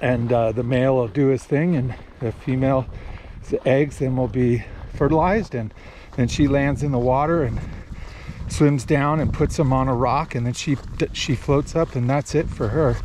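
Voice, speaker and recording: Fairly even intonation from a man at a moderate pace, with long, frequent pauses over noticeable background noise. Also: dry sound with no echo. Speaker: fly fisherman vlogger. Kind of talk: casual vlog chat. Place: waterside. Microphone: phone near.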